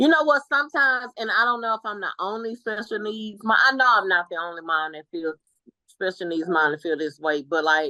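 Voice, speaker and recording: Loud, bright and sharp speech in an American accent, with very wide pitch swings and a fairly quick pace, dry and close with no echo. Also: woman, medium pitch for a woman. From Texas, Dallas (Oak Cliff). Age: 40s. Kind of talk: interview conversation.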